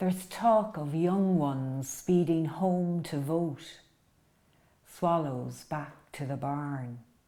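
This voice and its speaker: Speaking very slowly with an Irish accent, a woman uses a very deep, low pitch, a dark, mellow tone and ordinary pitch variation. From Ireland, County Roscommon. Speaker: poet. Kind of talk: poetry reading. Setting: at home.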